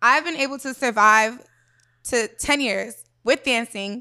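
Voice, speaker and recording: A woman speaks at a moderate pace in a high voice with an animated, bright, sharp tone. The recording is very clean, with a silent background. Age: 20s. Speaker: exotic dancer. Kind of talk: casual chat.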